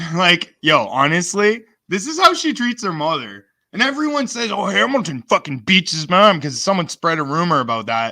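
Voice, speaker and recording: Animated and bright with a sharp tone, a man speaks at a moderate pace in a high pitch with very wide pitch swings. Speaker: streamer doing re-stream commentary. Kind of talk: heated argument and commentary. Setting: online live stream. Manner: loud. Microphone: close to the mic.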